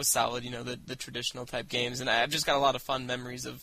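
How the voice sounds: Very fast in pace, a man speaks with a bright, sharp tone at a medium pitch with little pitch movement.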